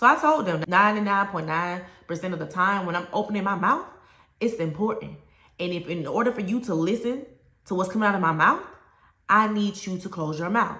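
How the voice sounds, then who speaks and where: A speaker with an American accent talks at a fairly quick pace with ordinary pitch variation. Room echo is audible. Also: woman, medium pitch for a woman. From US South. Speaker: teacher and education coach. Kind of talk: educational talk to camera. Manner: conversational, direct.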